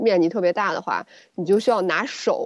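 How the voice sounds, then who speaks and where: At a fairly quick pace, an unremarkable speaking voice gets through its lines. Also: woman. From China, small town. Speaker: gynecologist and co-host. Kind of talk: casual chat.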